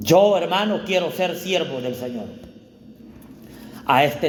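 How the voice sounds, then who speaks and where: With audible echo in the room, a man talks at a fairly slow pace. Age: 40s. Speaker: pastor. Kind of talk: sermon. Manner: animated.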